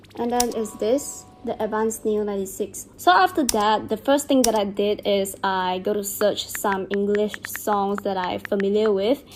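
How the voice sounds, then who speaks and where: A woman with a Chinese accent, medium-pitched, at a moderate pace with hardly any pauses, fairly even intonation, and music in the background. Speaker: beauty and lifestyle vlogger. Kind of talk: casual vlog chat during skincare routine.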